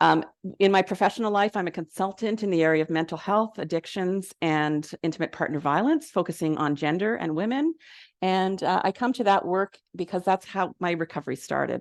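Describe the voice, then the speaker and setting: Speaking over a quiet background, a woman with a Canadian accent uses medium pitch and ordinary pitch variation. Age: 60s. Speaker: recovery consultant and speaker. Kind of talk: presentation talk to an audience. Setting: venue with live audience and Zoom. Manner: loud; casual, conversational with fillers.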